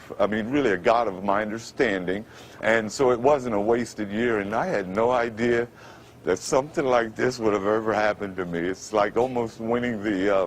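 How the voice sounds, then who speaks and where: A man speaks with a New York accent at a moderate pace and medium pitch, with ordinary pitch variation. Noticeable background noise runs behind him. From Brooklyn, New York. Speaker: former radio announcer. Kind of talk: TV interview answer.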